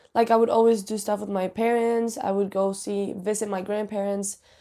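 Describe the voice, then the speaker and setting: A woman with a Spanish accent, fairly high pitch, a dark, mellow tone and fairly even intonation, in a very clean recording with a silent background. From Spain, Canary Islands (Tenerife). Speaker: student athlete. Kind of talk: interview. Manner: casual, many fillers.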